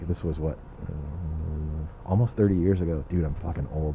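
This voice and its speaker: Talking fairly fast, a man sounds somewhat breathy. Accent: American. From Southern California (South Bay, Los Angeles). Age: 30s. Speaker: comedian and aerospace worker. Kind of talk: casual chat.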